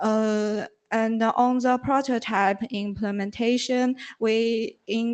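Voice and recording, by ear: A woman speaks slowly in a fairly high pitch, her intonation fairly even. Her tone is clear and smooth, slightly mellow.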